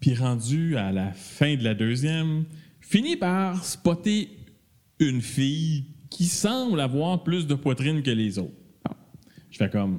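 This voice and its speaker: With long, frequent pauses and a very slow pace, a man speaks at a fairly high pitch, his voice swinging very widely in pitch and greatly in loudness. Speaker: podcast co-host. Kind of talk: casual chat.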